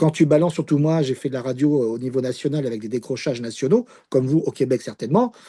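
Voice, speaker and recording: A man's dark, mellow voice at medium pitch, very fast, with ordinary pitch variation and a quiet background. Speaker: sports commentator and radio host. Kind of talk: interview answer.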